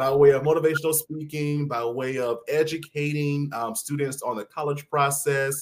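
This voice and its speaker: Here a man speaks with a Southern US accent. His pitch is fairly high. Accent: mild Southern US, polished. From South Carolina (Mullins). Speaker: educator and celebrity interviewer. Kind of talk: interview guest storytelling. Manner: articulate.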